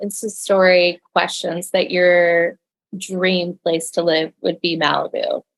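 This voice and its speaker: Speaking with an American accent, the voice moves at a fairly slow pace. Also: woman. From Texas. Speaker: podcast host. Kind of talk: casual interview chat.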